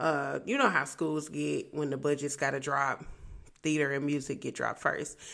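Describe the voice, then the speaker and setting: The voice has vocal fry and fairly even intonation. It moves at a moderate pace. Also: woman, very deep, low pitch for a woman. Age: 20s. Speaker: podcast host. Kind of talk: casual solo podcast monologue.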